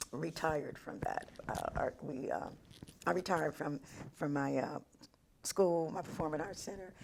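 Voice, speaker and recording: A woman's very deep, low voice with vocal fry, moderate pace, ordinary pitch variation, and long, frequent pauses. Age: 70s. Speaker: school board president. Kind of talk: interview. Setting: studio. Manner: halting.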